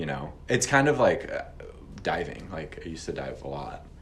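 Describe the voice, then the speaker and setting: A man with an American accent, a very deep, low pitch, very wide pitch swings and audible room echo. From Missouri, St. Louis. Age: 30s. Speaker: restaurant owner. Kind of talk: interview.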